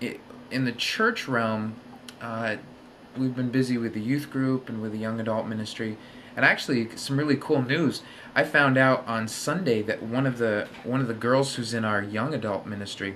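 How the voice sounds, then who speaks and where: A man's fairly even intonation and moderate pace come through light background noise. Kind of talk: casual vlog chat. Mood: relaxed, slightly self-deprecating. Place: home room. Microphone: webcam.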